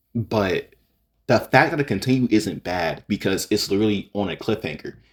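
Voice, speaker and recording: The man's voice sits at a fairly low pitch. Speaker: YouTuber reacting to fan opinions. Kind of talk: casual commentary video. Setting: home recording, raw unedited video. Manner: halting, many fillers and restarts.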